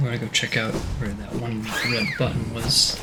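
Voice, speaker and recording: Music plays in the background. A soft-spoken man talks at a fairly slow pace. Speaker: let's play gamer. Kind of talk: soft-spoken gameplay commentary. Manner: soft-spoken, quiet.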